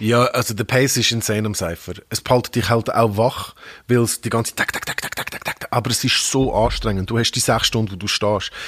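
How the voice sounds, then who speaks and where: With fairly even intonation, an unremarkable speaking voice talks at a fairly quick clip. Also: man, medium pitch for a man. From Hong Kong. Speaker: radio host and rapper. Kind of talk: casual chat. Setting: studio.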